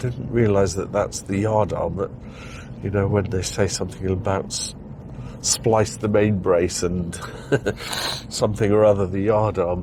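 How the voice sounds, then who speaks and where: With audible room echo and noticeable background noise, a man speaks at a moderate pace and fairly low pitch, his intonation fairly even and his pauses long and frequent. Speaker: driving video vlogger. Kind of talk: driving commentary vlog. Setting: in a car. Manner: casual, chatty.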